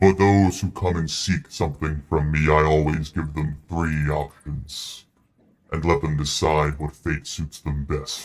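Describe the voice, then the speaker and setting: A put-on character voice from a man, pitched very deep and low, moving at a moderate pace. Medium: actual play. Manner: imperious, slow, menacing.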